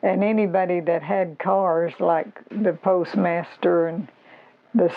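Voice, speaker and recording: A woman with an Arkansas accent, fairly low in pitch, with fairly even intonation. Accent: US Southern (Arkansas). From Arkansas, US South. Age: 80s+. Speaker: local elder sharing memories. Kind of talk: oral history interview.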